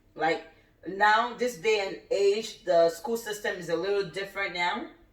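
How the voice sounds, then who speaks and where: Spoken at a moderate pace with a Nigerian accent and ordinary pitch variation, the voice carries audible room echo over noticeable background noise. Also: woman. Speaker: cooking channel host. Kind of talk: casual chat.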